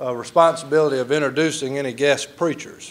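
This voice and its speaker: Against noticeable background noise, a man with a Mississippi accent speaks with fairly even intonation. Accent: Southern US (Mississippi). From Mississippi (rural, near Delo). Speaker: master of ceremonies, former political staffer. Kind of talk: emcee speech at awards dinner. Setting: banquet hall with audience. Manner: folksy, humorous.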